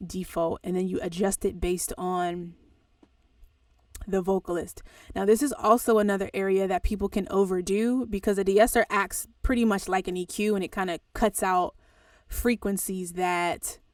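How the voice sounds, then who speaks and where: The voice belongs to a woman at a medium pitch with fairly even intonation. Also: moderate pace, very clean recording, silent background. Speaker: audio engineer and music producer teaching. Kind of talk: tutorial. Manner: casual.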